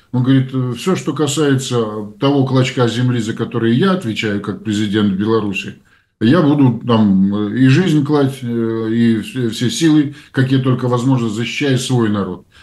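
The speech moves at a fairly slow pace. Audible room echo can be heard. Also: man, medium pitch for a man, ordinary pitch variation. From Belarus. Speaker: publicist and public figure, co-host. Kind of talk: casual political discussion.

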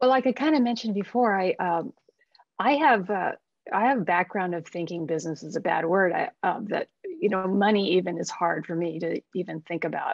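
A woman speaks at a fairly quick pace with lively intonation, the sound dry with no echo and the background quiet. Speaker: artist. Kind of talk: webinar conversation. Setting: video call. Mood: candid, reflective. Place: home room. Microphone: video call.

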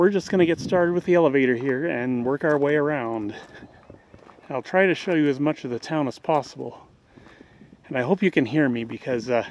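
Here a man talks at a fairly quick pace with ordinary pitch variation. The sound is dry with no echo, over light background noise. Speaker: walking tour vlogger. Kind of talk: casual vlog chat. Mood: hot, relaxed, joking. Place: street. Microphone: phone near.

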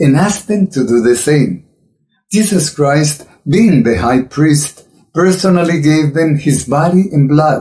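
Over a quiet background, a man with a dark, mellow tone and a somewhat breathy voice talks at a fairly slow pace with lively intonation. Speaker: religious commentator. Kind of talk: sermon. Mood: earnest, admonishing.

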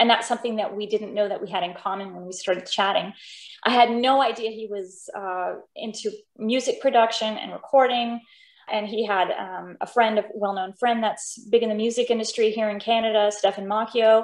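A woman's fairly high, flat, monotone voice at a fairly quick pace, with big swings in loudness, audible room echo and a quiet background. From Denmark, raised in US Pacific Northwest. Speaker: opera singer. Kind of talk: interview. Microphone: video call.

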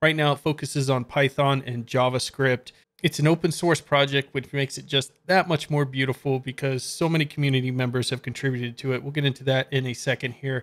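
A man rattles along at a very fast pace with hardly any pauses, his intonation monotone and flat. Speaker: coding channel host. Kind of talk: screen-share tutorial commentary. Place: home room.

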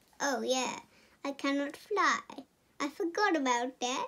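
Putting on a character voice, a woman speaks at a fairly slow pace with a high pitch and lively intonation. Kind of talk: comic reading for kids. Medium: read story. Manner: cheerfully dim, offhand.

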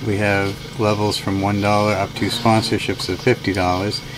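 Noticeable background noise runs behind a man's voice. He talks at a moderate pace with a fairly low pitch. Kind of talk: casual vlog update. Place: bus. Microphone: phone near.

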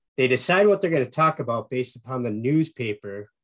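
A man at a medium pitch speaks with an Upper Peninsula Michigan accent. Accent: Upper Midwest (Yooper). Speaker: marketing executive and radio show host; guest. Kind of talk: webinar presentation. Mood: warm, enthusiastic. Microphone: video call.

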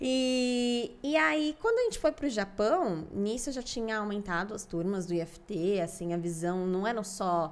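A woman speaks at a fairly slow pace with lively intonation and hardly any pauses. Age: 20s. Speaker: family constellation therapist; podcast guest. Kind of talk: interview. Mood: warm, animated, smiling. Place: studio. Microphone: studio mic.

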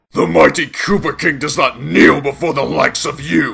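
Using a put-on character voice, a man speaks in a fairly high pitch at a moderate pace.

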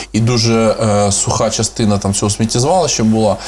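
Light background noise sits behind the recording. A man talks at a fairly quick pace. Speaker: guest. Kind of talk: interview answer. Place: studio. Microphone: lapel.

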